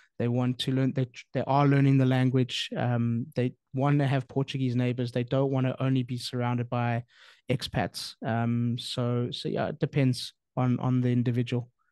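Over a quiet background, a man speaks with monotone, flat intonation and a dark, mellow tone, the sound dry with no echo. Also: moderate pace. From South Africa. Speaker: podcast host and real estate sales director; podcast host, real estate sales director. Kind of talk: casual chat. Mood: thoughtful, calm. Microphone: studio mic.

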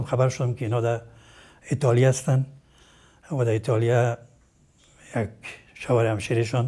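A man's medium-pitched, somewhat breathy voice has a dark, mellow tone and fairly even intonation. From Afghanistan, Kabul. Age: 80s+. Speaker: retired surgeon and medical professor; medical professor. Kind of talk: interview. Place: home room. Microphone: lapel.

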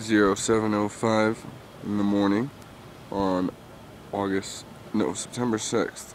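A man's fairly low, monotone voice, flat in intonation, at a fairly slow pace with long, frequent pauses, dry with no echo over light background noise. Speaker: visitor filming scenery. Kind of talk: casual narration while filming outdoors. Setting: outdoors. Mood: quietly admiring. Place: open country. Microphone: phone near.

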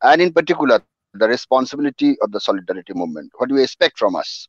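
A man's very fast speech in dry sound with no echo over a quiet background. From West Bengal, India. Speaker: event moderator. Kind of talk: formal introduction. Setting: online webinar. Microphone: headset.

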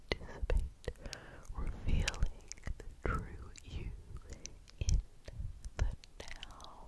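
A woman is whispering. Her pace is very slow. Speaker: ASMR creator. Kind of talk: ASMR whisper, guided relaxation talk. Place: home room. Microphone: studio mic.

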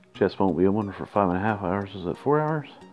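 Music plays behind a man who is talking very fast. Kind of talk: casual gameplay commentary. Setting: headset earbud mic on phone.

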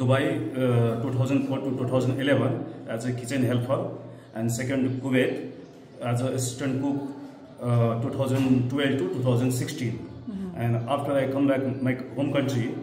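A man at a fairly slow pace in a monotone, flat intonation, with audible room echo and light background noise. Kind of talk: interview answer. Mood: formal, slightly nervous. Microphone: phone near.

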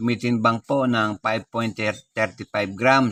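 A man with a bright, sharp tone talks at a medium pitch in a dry, close recording with no echo. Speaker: coin collector YouTuber. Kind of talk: show-and-tell tutorial.

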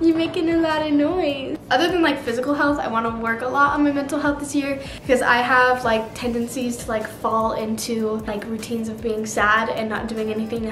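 Hardly pausing at all, a woman talks in a high voice, with audible room echo and light background noise. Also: ordinary pitch variation, fairly quick pace. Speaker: vlogger. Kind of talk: casual vlog chat. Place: kitchen.

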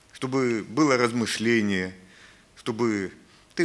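A man speaks with ordinary pitch variation. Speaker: church minister. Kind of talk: public prayer. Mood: earnest, reverent. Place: church. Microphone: podium.

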